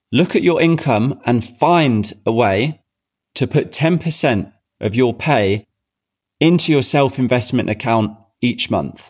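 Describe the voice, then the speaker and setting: In a normal speaking voice, a man at medium pitch talks at a fairly slow pace with ordinary pitch variation and very even loudness, on a very clean recording with a silent background. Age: 30s. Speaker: podcast host, entrepreneur coach. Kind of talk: motivational monologue.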